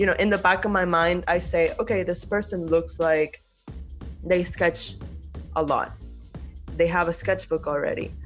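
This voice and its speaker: Over music in the background, a woman talks at a moderate pace with very even loudness. Her speech has long, frequent pauses. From Venezuela. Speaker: architect and university professor. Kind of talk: podcast interview answer. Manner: casual, conversational.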